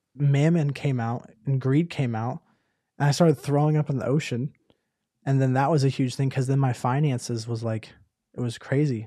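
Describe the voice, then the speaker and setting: Intonation stays fairly even as a man speaks at a fairly high pitch. His tone is dark and mellow. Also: quiet background. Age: 20s. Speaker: podcast co-host. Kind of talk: testimony.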